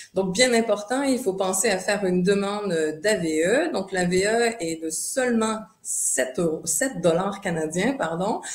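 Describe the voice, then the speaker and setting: A woman speaks in a Quebec accent at a fairly slow pace with lively intonation. Audible room echo and noticeable background noise fill the recording. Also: medium pitch for a woman, hardly any pauses. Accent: Québécois. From Quebec, Montreal. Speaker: tourism board representative. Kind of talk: online presentation. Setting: video call webinar. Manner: hesitant, many fillers.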